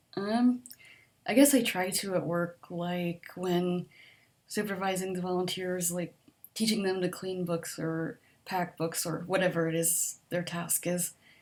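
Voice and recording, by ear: A soft-spoken woman's voice, fairly low in pitch and slightly mellow in tone, with little pitch movement at a fairly slow pace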